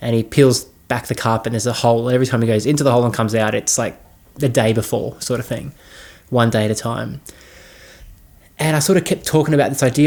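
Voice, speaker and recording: Fairly even in intonation, a man's speech moves at a very fast pace. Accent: Australian. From Australia. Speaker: filmmaker. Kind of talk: casual talk. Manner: hesitant, many fillers.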